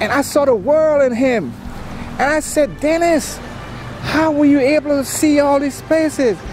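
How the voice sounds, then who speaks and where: Against noticeable background noise, a man with an American accent speaks at an extremely high pitch with fairly even intonation. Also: moderate pace. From US Virgin Islands. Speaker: traveling vlogger. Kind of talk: casual chat.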